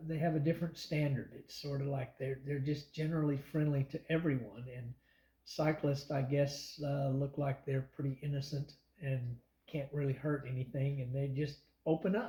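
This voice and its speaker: Breathing a little into his words, a man speaks at a fairly high pitch in a dark, mellow tone, keeping a moderate pace and fairly even intonation. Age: 60s. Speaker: long-distance cyclist. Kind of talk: interview answer.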